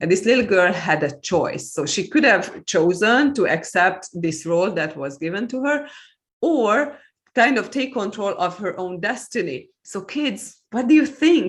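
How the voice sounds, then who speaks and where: A woman with a Hungarian accent speaks at a fairly slow pace, her pitch swinging very widely. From Hungary. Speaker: author and EFT practitioner. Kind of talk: interview conversation.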